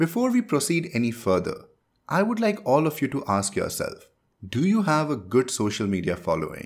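With an Indian accent, a man speaks at a fairly high pitch with very wide pitch swings. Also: moderate pace, very clean recording, silent background. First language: Hindi. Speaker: podcast host, business growth advisor. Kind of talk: solo podcast tutorial.

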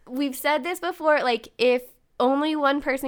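A loud, animated woman in a very clean recording with a silent background. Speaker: podcast co-host. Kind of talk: casual chat.

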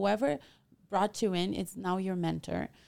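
A woman's medium-pitched voice with a Portuguese accent, a fairly slow pace and ordinary pitch variation, on a very clean recording with a silent background. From Brazil. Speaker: real estate agent. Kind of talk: casual interview.

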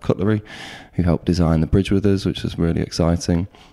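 A man with an East Midlands accent speaks at a very deep, low pitch, his tone dark and mellow and his intonation monotone and flat. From Nottingham, East Midlands England. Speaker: architect. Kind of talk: casual interview. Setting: architects' office.

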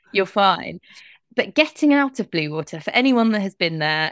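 A woman's medium-pitched, bright, sharp voice at a moderate pace, dry and close with no echo, on a very clean recording with a silent background. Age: 30s. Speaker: journalist and author. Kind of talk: interview.

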